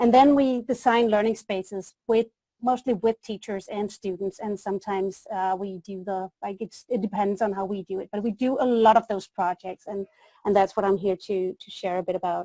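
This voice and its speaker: With a slight Danish accent, a woman talks at a moderate pace and medium pitch, her intonation fairly even but her loudness swinging widely, in a dry, close sound with no echo. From Denmark. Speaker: education consultant. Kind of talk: webinar presentation. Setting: webinar.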